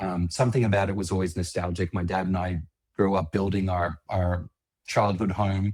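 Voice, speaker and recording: A man with an Australian accent speaks at a moderate pace in a very deep, low voice, somewhat breathy and monotone, on a very clean recording with a silent background. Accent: Australian, noticeable. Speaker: landscaping business owner. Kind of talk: interview.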